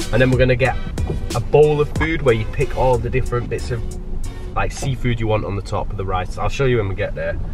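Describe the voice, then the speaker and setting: A man talks at a very fast pace with clear music in the background. The sound is dry, with no echo. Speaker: travel vlogger. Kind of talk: casual vlog chat. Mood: happy, satisfied after food.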